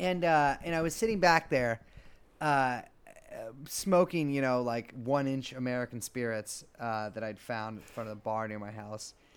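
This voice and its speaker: A man speaks at a moderate pace with a medium pitch and ordinary pitch variation. He has an ordinary speaking voice. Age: 30s. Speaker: podcaster. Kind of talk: casual chat.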